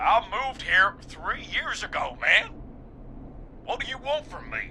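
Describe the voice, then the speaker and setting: A man does a put-on character voice at an extremely high pitch, drawling at a fairly slow pace. Background noise is clearly heard. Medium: video game. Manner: casual, drawling, says "man" often.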